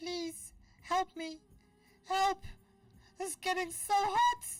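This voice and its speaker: In a put-on character voice that is squeaky and extremely high in pitch, the speaker talks at a very slow pace. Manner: pleading, frightened.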